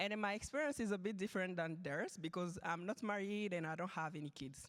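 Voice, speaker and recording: A woman with a French accent, at a moderate pace, with ordinary pitch variation. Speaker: panelist, systems engineer and graduate student. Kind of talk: panel discussion.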